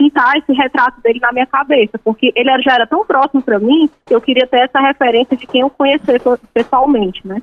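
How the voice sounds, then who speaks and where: Her pitch high and its variation ordinary, a woman talks at a very fast pace. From Ceará, Brazil. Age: 30s. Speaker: journalist and author. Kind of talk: interview.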